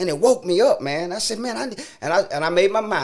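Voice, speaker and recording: A man is speaking. He goes at a very fast pace. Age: 60s. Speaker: preacher. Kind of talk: testimony. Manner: animated.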